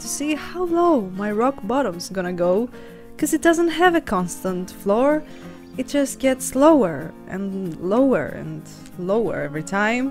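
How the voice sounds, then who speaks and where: Over music in the background, a woman speaks at a fairly slow pace and medium pitch, with very wide pitch swings and big swings in loudness. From Greece. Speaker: lifestyle vlogger. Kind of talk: vlog voiceover narration.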